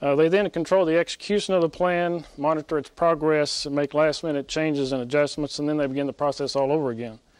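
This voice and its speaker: The speech moves at a fairly quick pace with fairly even intonation. The background is quiet. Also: man. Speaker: military officer. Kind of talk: press briefing. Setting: press briefing room. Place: hall. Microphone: podium.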